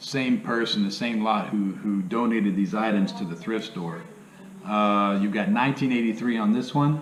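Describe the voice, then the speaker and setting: A man at a medium pitch talks at a moderate pace with ordinary pitch variation, with audible room echo and noticeable background noise. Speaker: part-time reseller, YouTuber. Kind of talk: casual video tutorial. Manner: casual, filler-heavy.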